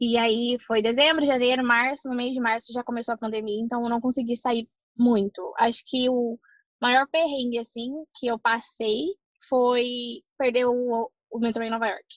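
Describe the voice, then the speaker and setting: The sound is dry and close with no echo. A woman speaks at a high pitch and a moderate pace. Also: fairly even intonation. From Brazil. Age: 20s. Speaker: au pair. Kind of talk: casual chat.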